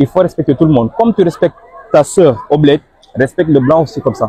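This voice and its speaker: A man with a fairly high pitch talks at a very fast clip. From Senegal. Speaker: immigrant interviewee. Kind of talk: interview. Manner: casual.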